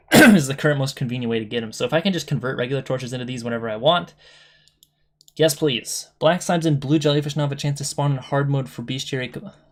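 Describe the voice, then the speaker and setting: Somewhat breathy speech comes at a very fast pace. The recording is very clean, with a silent background. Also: man, fairly high pitch for a man, ordinary pitch variation. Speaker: gaming content creator. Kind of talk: reading changelog with casual commentary. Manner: casual, halting with self-corrections.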